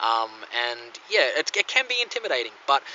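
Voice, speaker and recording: A man with an Australian accent. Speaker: coin collector vlogger. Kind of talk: casual vlog talk. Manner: halting, many fillers.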